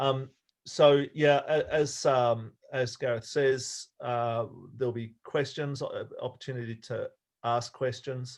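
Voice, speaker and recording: At a very slow pace, a man with an Australian accent speaks in a medium pitch. His intonation stays monotone and flat. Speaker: sailing coach. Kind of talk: online talk. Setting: video call. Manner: hesitant, many fillers.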